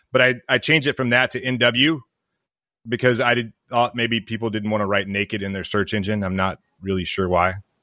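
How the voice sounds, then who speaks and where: A man speaks with an American accent and a bright, sharp tone. His pitch varies in an ordinary way, in a very clean recording with a silent background. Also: medium pitch for a man, fairly quick pace, dry, close sound with no echo. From US South, Mississippi. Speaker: military veteran and business founder. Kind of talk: interview.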